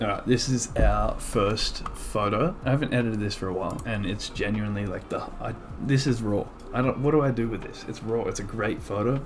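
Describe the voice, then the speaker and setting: A quiet man talking at a fairly quick pace, with audible room echo and noticeable background noise. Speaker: photographer. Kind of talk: tutorial. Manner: casual.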